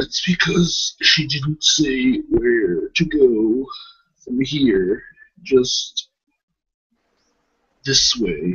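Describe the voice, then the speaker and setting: Putting on a character voice, a man speaks at a fairly high pitch and a very slow pace, leaving long, frequent pauses. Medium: actual play. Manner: dry, terse.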